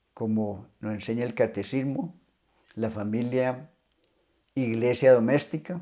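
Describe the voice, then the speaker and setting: A man with a medium pitch and a dark, mellow tone talks at a fairly slow pace with long, frequent pauses and ordinary pitch variation. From Colombia, northern Valle del Cauca. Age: 70s. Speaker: deacon. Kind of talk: testimony.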